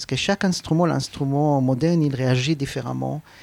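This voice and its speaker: Speaking with a Hebrew accent, a man keeps a moderate pace and fairly even intonation. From Israel. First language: Hebrew (speaking French). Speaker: clarinettist. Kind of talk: interview. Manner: halting.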